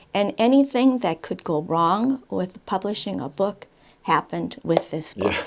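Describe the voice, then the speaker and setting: Speaking at a fairly slow pace, a woman with a medium pitch uses lively intonation and vocal fry. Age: 70s. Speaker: author and retired teacher. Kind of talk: interview answer.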